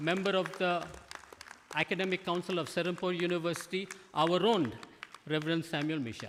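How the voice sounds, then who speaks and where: Over crowd noise in the background, a man talks fairly quickly with a high pitch and fairly even intonation. He leaves long, frequent pauses. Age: 70s. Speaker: university leader. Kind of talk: ceremonial speech. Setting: stage with audience. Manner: formal.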